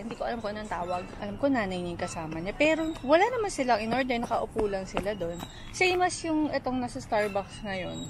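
With hardly any pauses, a woman talks very fast in a dry sound with no echo, over noticeable background noise. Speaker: vlogger. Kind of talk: casual vlog chat. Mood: concerned, protective storytelling. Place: garden. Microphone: phone near.

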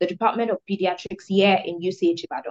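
A woman talks very fast at a medium pitch. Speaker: health insurance founder. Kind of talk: pitch presentation. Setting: video call.

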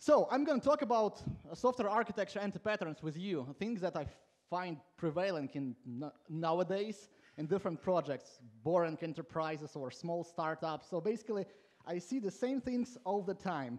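A high-pitched man at a moderate pace over a quiet background. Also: lively intonation. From Latvia. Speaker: conference speaker, software coach. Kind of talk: conference talk. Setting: stage with audience. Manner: informal, humorous, self-deprecating. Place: hall. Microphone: headset.

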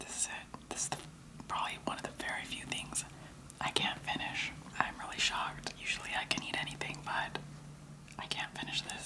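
She speaks in a whisper, keeping a moderate pace. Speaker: food vlogger. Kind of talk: casual vlog chat. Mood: disgusted amused. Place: kitchen. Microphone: phone near.

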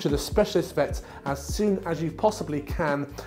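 A man speaking at a moderate pace, with faint music in the background. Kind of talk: tutorial. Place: home room. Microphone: lapel.

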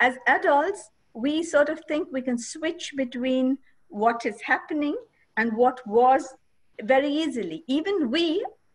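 A woman's high-pitched voice with very wide pitch swings, at a fairly slow pace over a quiet background. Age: 50s. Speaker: school principal; interview guest. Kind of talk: online interview. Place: home room. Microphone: video call.

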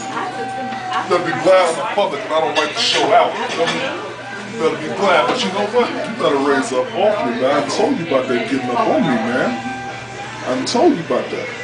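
A man at a fairly quick pace over loud music in the background. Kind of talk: casual banter. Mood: playful trash talk. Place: cafe. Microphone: camera far.

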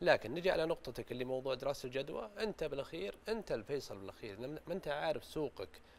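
A man speaks with a Saudi accent. His intonation is lively, and there is light background noise. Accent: Saudi Gulf Arabic. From Saudi Arabia. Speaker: business growth consultant; guest. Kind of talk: studio talk show interview. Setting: studio. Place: studio. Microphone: lapel.

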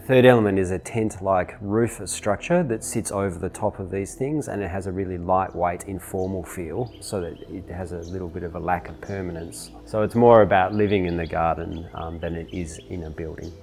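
A man's very deep, low voice at a moderate pace, with ordinary pitch variation, big swings in loudness, hardly any pauses and light background noise. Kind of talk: interview answer. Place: home room.

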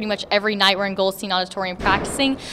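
A woman talking at a very fast pace. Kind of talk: interview answer. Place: gym. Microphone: handheld.

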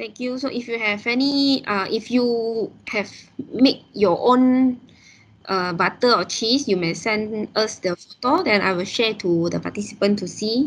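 A woman with an ordinary speaking voice talks at a fairly slow pace, her fairly high pitch showing ordinary pitch variation. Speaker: event secretariat moderator. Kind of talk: event introduction. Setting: video call. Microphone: video call.

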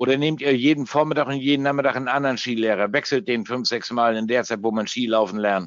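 A man of medium pitch speaks at a very fast pace with hardly any pauses and ordinary pitch variation. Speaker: forex trader and trading educator. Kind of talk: live trading webinar. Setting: webinar from home. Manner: casual, joking.

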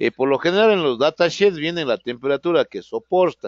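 A man's fairly high-pitched voice at a moderate pace, with lively intonation. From Ecuador. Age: 50s. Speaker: automotive programming instructor. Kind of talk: online lecture. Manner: hesitant, frequent fillers.

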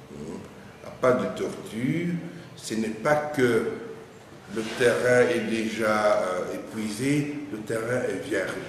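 A man speaks at a very slow pace, with long, frequent pauses. Light background noise and audible room echo surround him. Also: medium pitch for a man, ordinary pitch variation. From DR Congo. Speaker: medical school dean; university medical professor. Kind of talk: interview. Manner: formal. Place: office. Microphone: camera far.

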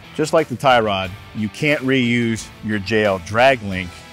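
The man's pitch varies in an ordinary way. The sound is dry with no echo, and faint music plays behind him. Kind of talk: tutorial. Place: garage. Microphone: lapel.

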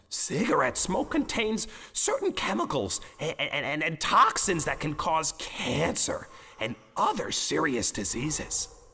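A man puts on a cartoonish character voice at a high pitch and fairly slow pace. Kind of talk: educational character dialogue. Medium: puppet show. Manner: emphatic, lecturing. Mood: informative.

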